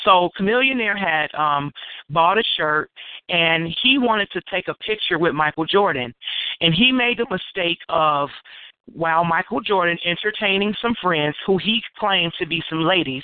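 Speaking at a moderate pace in an American accent, a woman uses a fairly low pitch and lively intonation. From Chicago. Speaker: hip hop artist. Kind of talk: casual interview chat.

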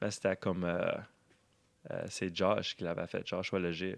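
A man speaks at a very slow pace with long, frequent pauses, on a very clean recording with a silent background. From Edmundston, New Brunswick (Acadian Madawaska region). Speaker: musician. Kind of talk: casual chat.

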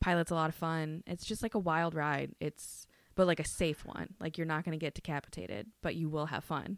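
In a very clean recording with a silent background and a dry, close sound with no echo, a woman with an American accent speaks at a fairly quick pace, her very deep, low pitch held in fairly even intonation. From Minnesota. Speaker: podcast co-host. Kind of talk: casual chat.

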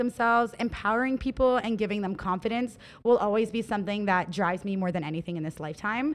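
The speaker has a plain, everyday voice with ordinary pitch variation. The pace is fairly quick and the background quiet. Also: woman. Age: 20s. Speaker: hair stylist and salon owner. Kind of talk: casual podcast interview.

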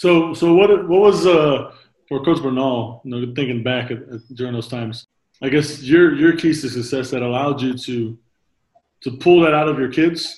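Pitch varies in an ordinary way throughout a normal speaking voice. The pace stays moderate. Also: man, fairly high pitch for a man. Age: 30s. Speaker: podcast host and basketball coach. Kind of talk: casual interview. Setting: video call.

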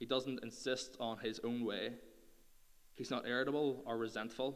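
With a Northern Irish accent, a man speaks at a moderate pace and medium pitch, and audible room echo surrounds his voice. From Northern Ireland. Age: 20s. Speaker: youth speaker. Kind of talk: sermon.

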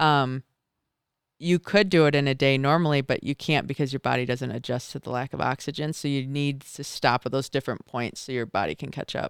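The sound is dry and close with no echo, and the recording is very clean with a silent background. The speaker has an American accent, fairly even intonation and a fairly quick pace. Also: woman, very deep, low pitch for a woman. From Michigan. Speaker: mountaineer. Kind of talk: casual chat. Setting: studio.

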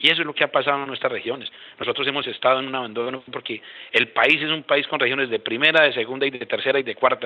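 This man talks at a very fast pace in a fairly high pitch, his intonation monotone and flat. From Colombia, Boyacá. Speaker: regional education official. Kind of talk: panel discussion. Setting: phone call.

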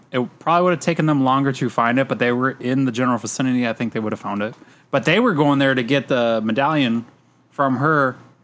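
Speaking very fast, a man talks at a medium pitch. His pitch varies in an ordinary way. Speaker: podcast host. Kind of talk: casual chat.

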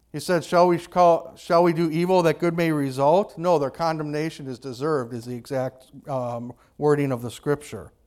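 In a very clean recording with a silent background, a man with an American accent and a plain, everyday voice speaks at a moderate pace, his fairly high pitch varying an ordinary amount. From United States. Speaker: pastor. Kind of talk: sermon.

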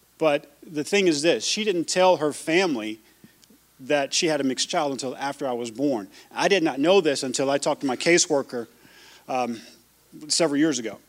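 A man uses an ordinary speaking voice at a fairly high pitch with ordinary pitch variation. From US South (Louisiana, Georgia). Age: 40s. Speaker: church member sharing testimony. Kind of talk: testimony; sermon. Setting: church.

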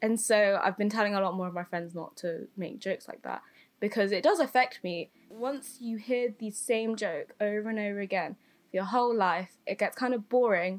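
At a moderate pace and medium pitch, a woman speaks with an English accent and ordinary pitch variation in a very clean recording with a silent background. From England, Filipino family. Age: young. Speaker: podcast co-host. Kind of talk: casual chat.

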